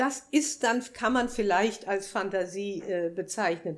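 On a very clean recording with a silent background, a woman speaks very slowly with ordinary pitch variation. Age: 80s+. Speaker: visual artist. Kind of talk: live interview. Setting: café with live audience. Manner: halting.

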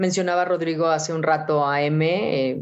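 Her voice very deep and low, a woman speaks at a fairly slow pace with fairly even intonation. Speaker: radio announcer. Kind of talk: interview.

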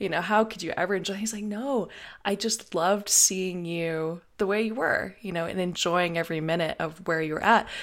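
In an ordinary speaking voice, a woman with an American accent speaks at medium pitch and a moderate pace. Her pitch varies in an ordinary way, and the recording is very clean with a silent background. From US South. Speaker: podcast host. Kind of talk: casual chat.

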